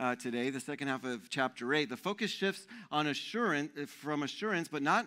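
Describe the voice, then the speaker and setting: A bright, sharp tone with lively intonation over a quiet background. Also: man. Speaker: pastor. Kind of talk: sermon. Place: stage. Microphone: headset.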